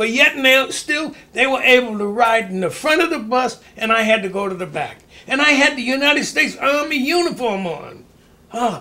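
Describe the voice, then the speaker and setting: Raising and projecting his voice, a man with an extremely high pitch and a bright, sharp tone speaks at a moderate pace with lively intonation. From Maine. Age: 80s+. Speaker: retired boxer. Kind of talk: interview. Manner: halting.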